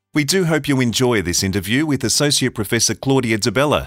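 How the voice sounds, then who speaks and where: At a fairly quick pace, a man talks with vocal fry and very wide pitch swings. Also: very clean recording, silent background. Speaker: podcast announcer. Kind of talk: scripted announcement.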